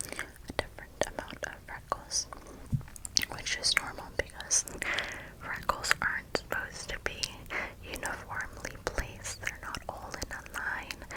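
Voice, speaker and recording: Whispered words come at a fairly slow pace, broken by long, frequent pauses, with noticeable background noise throughout. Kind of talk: ASMR whisper roleplay, counting freckles with mouth sounds. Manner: whispered, soft, slow, repetitive.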